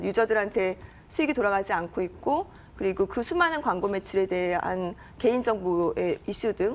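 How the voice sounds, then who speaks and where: Her pitch is fairly high for a woman. It jumps around over a very wide range. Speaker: startup CEO. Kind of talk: interview. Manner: fast.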